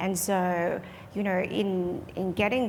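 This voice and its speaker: A woman with an Australian accent at a very slow pace. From Australia, trained in Perth. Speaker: medical device company clinician executive. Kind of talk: panel discussion.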